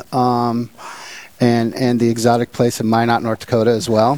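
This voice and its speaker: This man has an ordinary speaking voice at a medium pitch, with a General American accent. He talks at a moderate pace. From US West Coast (Portland, Oregon). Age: 40s. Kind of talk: interview testimony. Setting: parish hall studio.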